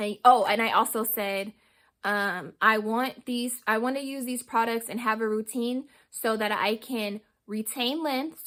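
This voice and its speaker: Fairly high in pitch, a woman speaks at a fairly slow pace with fairly even intonation in a very clean recording with a silent background. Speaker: hair care vlogger. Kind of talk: casual vlog tutorial.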